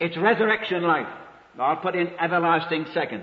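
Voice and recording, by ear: A man with a fairly high voice talks at a fairly quick pace with lively intonation, and audible room echo can be heard.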